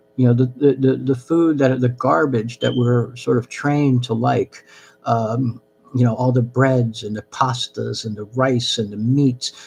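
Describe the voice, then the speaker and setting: This man has an American accent and a medium pitch, with a somewhat breathy quality. His intonation is fairly even and his pace fairly slow. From US, New Jersey, with childhood years in Peru. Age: 60s. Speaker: channel host. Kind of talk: live-stream monologue. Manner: halting, many fillers.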